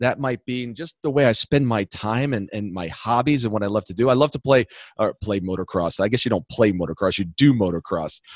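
A man talks at a moderate pace with a medium pitch and ordinary pitch variation, in an ordinary speaking voice. The sound is dry and close, with no echo. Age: 50s. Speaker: entrepreneur and business consultant. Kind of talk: interview.

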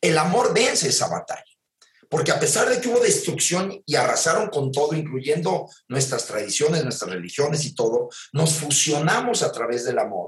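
This man's voice shows vocal fry and very wide pitch swings. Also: fairly high pitch for a man, moderate pace. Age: 50s. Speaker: theatre producer and director. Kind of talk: casual chat.

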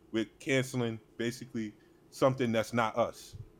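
A man talks at a medium pitch and a moderate pace. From New York, Harlem. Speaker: podcast co-host. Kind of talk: casual sports chat.

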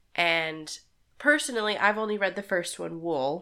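On a very clean recording with a silent background, a woman speaks at a fairly slow pace with a fairly low pitch and a bright, sharp tone. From Texas. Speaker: podcast co-host, nurse. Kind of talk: casual chat.

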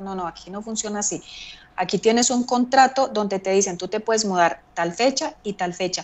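A woman speaks at medium pitch and a moderate pace. She has a plain, everyday voice. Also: ordinary pitch variation. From Colombia, Medellín. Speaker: immigrant telling life story. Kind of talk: interview.

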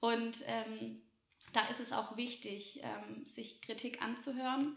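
A woman speaks in a fairly high pitch. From Swabia, Germany (small village near Göppingen). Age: 20s. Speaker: café owner and entrepreneur. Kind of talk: podcast interview.

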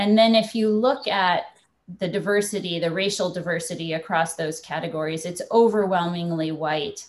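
Here is a woman with an ordinary speaking voice, fairly low in pitch. Her pitch variation is ordinary, and her pace is moderate. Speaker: startup founder. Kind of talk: panel discussion. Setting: video call.

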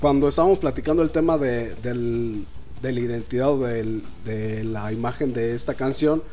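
A man with a Mexican accent at medium pitch and a fairly slow pace, ordinary pitch variation, audible room echo and noticeable background noise. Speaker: singer-songwriter. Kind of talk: casual interview.

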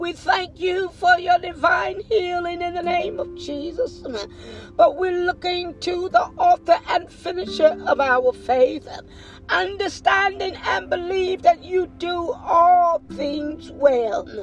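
Very slow speech over music in the background. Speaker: pastor. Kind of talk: sermon then fervent prayer. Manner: fervent, pleading.

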